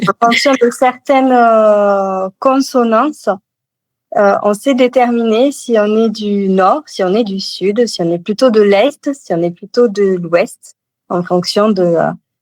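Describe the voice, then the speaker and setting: This woman's voice sits fairly high, its pitch varying in an ordinary way. She talks very slowly. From Toulouse, southern France. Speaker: novelist. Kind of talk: interview answer.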